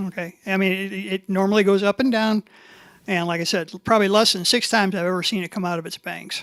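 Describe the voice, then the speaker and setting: Speaking very fast, a woman has a Midwestern US accent. Her pitch is medium and her intonation fairly even. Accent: rural Midwestern US. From Lorain County, Ohio. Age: 60s. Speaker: local farmer and resident. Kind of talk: public comment. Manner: hesitant, many fillers.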